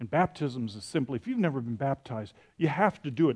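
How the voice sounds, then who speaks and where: This is a man with a fairly high pitch. His intonation is lively. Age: 60s. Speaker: pastor. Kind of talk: sermon. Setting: church. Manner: halting.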